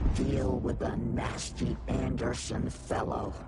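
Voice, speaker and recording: A man uses a put-on character voice at a very slow pace. Loud background noise surrounds him. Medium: short film. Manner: clipped, cryptic fragments.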